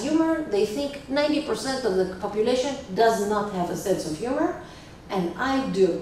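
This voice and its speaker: There is noticeable background noise and audible room echo as a woman talks at a moderate pace, her fairly high pitch carried by lively intonation. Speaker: activist. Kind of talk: public talk. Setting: stage with audience.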